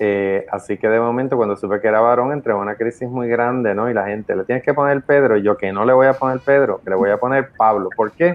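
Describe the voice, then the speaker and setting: A man talks at a very fast pace with hardly any pauses. His medium-pitched voice shows ordinary pitch variation. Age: 50s. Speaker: podcast co-host. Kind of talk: casual chat.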